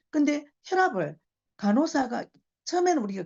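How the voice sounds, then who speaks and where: Very wide pitch swings from a woman speaking at a moderate pace. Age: 60s. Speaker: invited speaker at business seminar. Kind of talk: testimonial talk.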